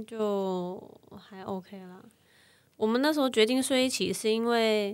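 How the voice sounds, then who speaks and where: A woman speaks at a very slow pace with a fairly high pitch and ordinary pitch variation. Her loudness swings widely. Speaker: model and mother. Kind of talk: casual chat.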